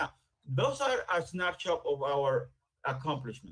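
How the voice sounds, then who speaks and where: A man speaks with fairly even intonation. His voice is somewhat breathy. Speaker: town building official. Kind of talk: staff report presentation. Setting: virtual meeting. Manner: fast.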